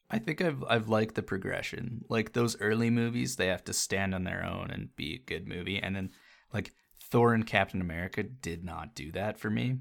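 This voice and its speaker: A man's fairly low voice with vocal fry, ordinary pitch variation and a moderate pace, on a very clean recording with a silent background. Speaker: podcast host. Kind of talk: casual chat. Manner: casual, profane.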